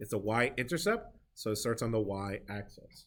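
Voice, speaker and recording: A man with an unremarkable speaking voice talks at a moderate pace with lively intonation. The recording is very clean, with a silent background. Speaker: math teacher. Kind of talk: classroom review lesson. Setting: classroom with students.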